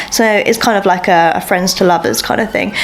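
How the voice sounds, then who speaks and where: With an English accent, a woman talks fairly quickly at a medium pitch against noticeable background noise. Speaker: book vlogger. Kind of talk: vlog. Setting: at home. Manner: casual, chatty; soft-spoken.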